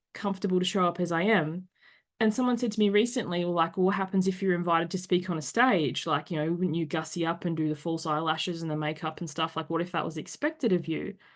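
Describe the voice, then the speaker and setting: A woman with an Australian accent talks at a very fast pace in a fairly low pitch, with ordinary pitch variation over a quiet background. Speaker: podcast host. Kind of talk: casual chat. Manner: animated.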